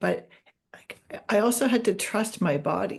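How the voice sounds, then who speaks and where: Vocal fry runs through the voice against a quiet background. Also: woman. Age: 60s. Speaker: adoptee, podcast co-host. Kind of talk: casual chat.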